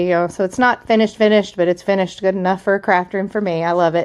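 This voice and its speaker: Here a woman speaks at a medium pitch. Her intonation stays fairly even. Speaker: crafter and home decor seller. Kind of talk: casual video tour. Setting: home basement. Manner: fast; hesitant, many fillers.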